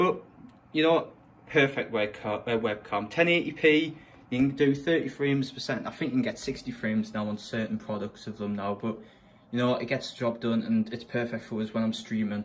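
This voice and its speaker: A man with a northern English accent talks at a fairly quick pace. His voice is medium in pitch, with ordinary pitch variation. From northern England, Sunderland. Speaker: gaming streamer. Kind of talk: room setup tour. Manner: casual.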